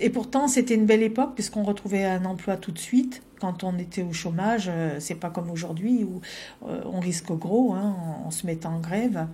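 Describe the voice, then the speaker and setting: The voice is somewhat breathy with a dark, mellow tone and ordinary pitch variation. It moves at a moderate pace, and there is audible room echo. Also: woman, medium pitch for a woman. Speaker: former activist. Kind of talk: interview testimony.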